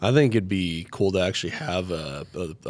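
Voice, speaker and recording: A man talks at a moderate pace with lively intonation and vocal fry in a very deep, low pitch. The recording is very clean, with a silent background. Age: 30s. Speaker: podcast host. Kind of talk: casual chat.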